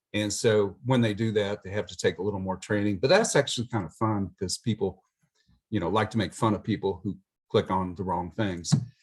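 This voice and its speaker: Over a quiet background, a man with a plain, everyday voice speaks at a fairly low pitch and a fairly quick pace. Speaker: IT services presenter. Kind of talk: webinar presentation. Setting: video call.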